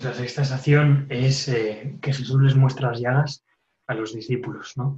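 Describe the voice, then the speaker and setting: Somewhat breathy and medium-pitched, a man speaks at a fairly slow pace in a monotone, flat delivery. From Spain, Castellón. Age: young. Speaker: religious novice. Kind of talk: interview. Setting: phone call.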